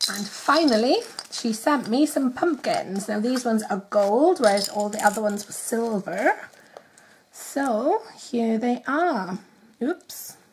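Over light background noise, a woman speaks at a fairly slow pace. Her voice sits fairly high, with lively intonation. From Wales. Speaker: nail art youtuber. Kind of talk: casual talk to camera. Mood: cheerful, chatty.

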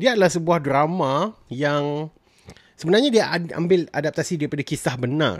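Against a quiet background, a man with a fairly high pitch speaks at a moderate pace. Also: ordinary pitch variation, dry sound with no echo. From Malaysia. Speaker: film and TV reviewer; TV reviewer. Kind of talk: solo review vlog. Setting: solo recording, audio only. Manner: casual with frequent fillers and code-switching. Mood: relaxed, enthusiastic. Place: home room. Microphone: studio mic.

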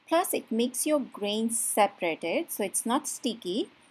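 This woman speaks with lively intonation. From India. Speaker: lifestyle vlogger. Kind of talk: vlog with cooking tutorial. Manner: casual, friendly. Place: kitchen.

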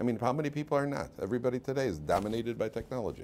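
Someone with a Chicago accent talks at a very fast pace. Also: man. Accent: Chicago American English. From US Midwest (Chicago). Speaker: rabbi and Torah teacher; rabbi, Torah teacher. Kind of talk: lecture. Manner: conversational, interactive with audience. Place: classroom.

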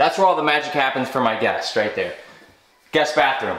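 Audible room echo and light background noise surround the speech. A man talks at a fairly quick pace with ordinary pitch variation. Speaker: streamer and video creator; vlogger. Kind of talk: casual vlog house tour. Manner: casual, energetic. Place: home room. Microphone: phone near.

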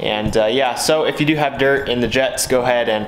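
A man speaks with ordinary pitch variation. Room echo and light background noise are audible. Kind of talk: tutorial. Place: garage. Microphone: phone near.

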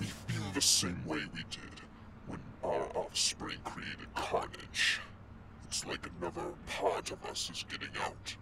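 Using a put-on character voice, a man speaks at a fairly slow pace and a very deep, low pitch amid loud background noise. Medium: audio drama. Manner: uneasy, then eager and menacing.

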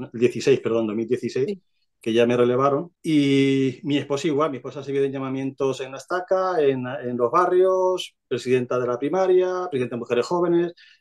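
A man at a moderate pace with hardly any pauses and ordinary pitch variation, against a quiet background. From Spain, Albacete, Castilla-La Mancha; Castilla-La Mancha, Spain. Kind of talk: testimony. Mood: calm, reflective. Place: home room. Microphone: video call.

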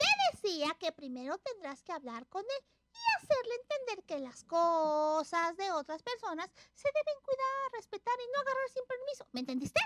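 A cartoonish character voice with a fairly bright tone and big pitch swings moves at a moderate pace, the sound dry and close with no echo.

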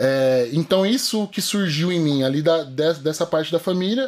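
Moderate pace and fairly high pitch from a man. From interior of São Paulo state, Brazil. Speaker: jiu-jitsu athlete and fitness influencer; fitness influencer. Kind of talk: casual interview chat. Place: studio. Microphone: studio mic.

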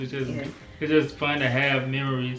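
Faint music plays in the background, and the room echo is audible. The speech moves at a fairly quick pace. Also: man. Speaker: couple vlogger. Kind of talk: casual vlog chat. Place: home room.

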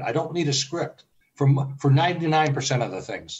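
A man at a fairly high pitch, somewhat breathy, at a fairly quick pace. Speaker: early retiree and travel blogger. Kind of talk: casual interview.

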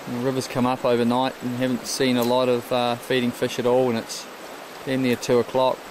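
A man's monotone, flat delivery at a fairly quick pace, dry with no echo, over noticeable background noise. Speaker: fishing guide filming. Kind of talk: commentary. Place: waterside. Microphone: phone near.

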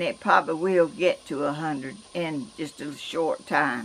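Speaking very slowly in a Georgia accent, a woman keeps a fairly low pitch with ordinary variation. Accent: Southern US, Georgia. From US South. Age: 80s+. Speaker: vlogger. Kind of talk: casual vlog talk; casual vlog chat. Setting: outdoors. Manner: halting. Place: garden. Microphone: camera far.

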